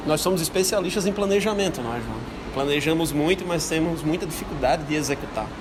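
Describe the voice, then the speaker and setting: A man with a Brazilian accent and fairly high pitch, at a very fast pace with ordinary pitch variation, amid audible room echo and noticeable background noise. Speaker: psychologist. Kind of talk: interview.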